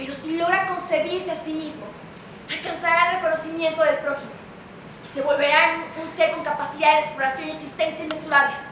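A woman speaks at an extremely high pitch and a fairly quick pace, in a monotone, flat intonation. Audible room echo and light background noise are present. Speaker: stage actress. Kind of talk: theatrical monologue. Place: stage. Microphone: camera far.

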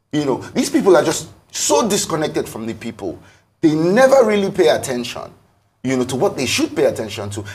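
A man's fairly quick delivery with very wide pitch swings and vocal fry. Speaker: talk show guest. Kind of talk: interview answer. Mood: frustrated, critical of government. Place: studio.

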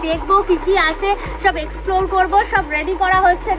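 Clear music plays in the background. The speaker's intonation stays fairly even. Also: woman. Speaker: travel vlogger. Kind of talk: casual vlog chat. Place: street. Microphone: lapel.

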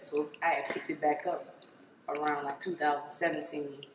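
A woman's very deep, low voice with an American accent, with audible room echo and noticeable background noise. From Maryland, Prince George's County. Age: 20s. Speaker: rapper. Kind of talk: interview. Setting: studio. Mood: relaxed, casual. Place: home room.

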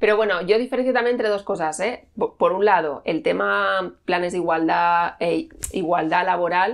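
Her voice is fairly low for a woman and carries vocal fry. She speaks at a moderate pace with ordinary pitch variation and hardly any pauses. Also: quiet background. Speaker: journalist and author; journalist. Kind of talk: interview conversation. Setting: at her home. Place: home room. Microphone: lapel.

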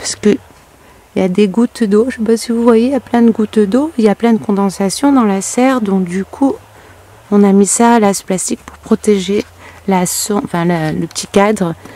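Speaking at a moderate pace with ordinary pitch variation, the voice leaves long, frequent pauses in a dry sound with no echo. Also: woman. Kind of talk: casual vlog chat. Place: garden. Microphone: phone near.

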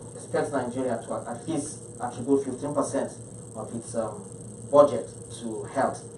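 A man's voice comes through with light background noise and audible room echo. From Nigeria, Niger State. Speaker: state health commissioner. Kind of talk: panel presentation. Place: meeting room.

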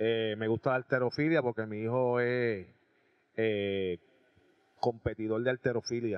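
A man speaks at a medium pitch and a fairly slow pace, with fairly even intonation, long and frequent pauses, and a quiet background. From Puerto Rico, Aibonito; Puerto Rico. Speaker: rock band drummer and singer; guest. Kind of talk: casual interview. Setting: restaurant. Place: cafe. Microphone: handheld.

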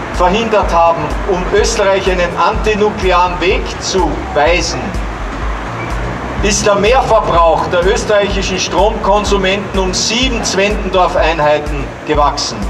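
Over noticeable background noise, a man talks at a fairly slow pace with long, frequent pauses. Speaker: museum director and ecologist. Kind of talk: public speech. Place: street. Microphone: handheld.

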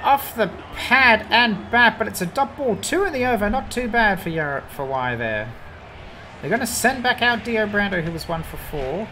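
A woman speaks at a medium pitch with very wide pitch swings over noticeable background noise. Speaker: sports commentator. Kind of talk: live sports commentary. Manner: animated.

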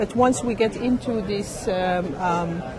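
A woman speaks at a medium pitch with ordinary pitch variation. Noticeable background noise can be heard. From Morocco. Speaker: biotech R&D executive. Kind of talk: interview. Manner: hesitant with fillers. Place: hall. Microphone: handheld.

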